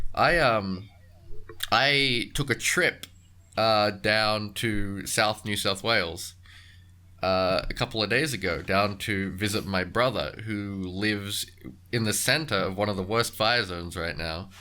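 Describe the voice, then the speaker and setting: A man speaks fairly slowly in an Australian accent, with a bright, sharp tone. His pitch is fairly low, with ordinary variation. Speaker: podcast host. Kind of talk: casual chat. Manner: halting.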